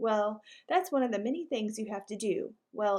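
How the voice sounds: It's a natural reading voice with ordinary pitch variation. The background is quiet.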